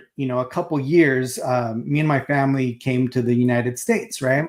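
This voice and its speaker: A man with a Spanish accent speaks in a fairly high voice. The recording is very clean, with a silent background. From Mexico, moved to US as a child. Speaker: collectibles show co-host. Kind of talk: casual chat. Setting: live stream.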